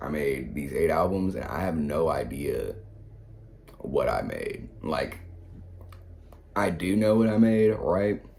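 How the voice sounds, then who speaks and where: Audible room echo surrounds a man as he speaks. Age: 20s. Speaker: rapper and music producer. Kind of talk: casual reaction commentary. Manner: casual, rambling with repetitions.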